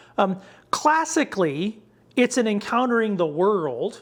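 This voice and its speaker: A man's voice with lively intonation. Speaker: theologian lecturer. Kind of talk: lecture. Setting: lecture to ministers. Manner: fast; halting with fillers and restarts.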